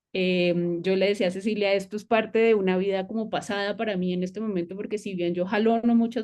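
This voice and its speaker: A woman's dark, mellow tone with fairly even intonation, set against a quiet background. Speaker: university lecturer and researcher. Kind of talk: academic seminar presentation. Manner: hesitant, many fillers.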